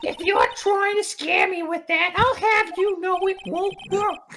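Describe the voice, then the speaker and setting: A woman uses a put-on character voice at an extremely high pitch. She talks at a fairly slow pace with fairly even intonation. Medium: game stream. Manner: smug, condescending.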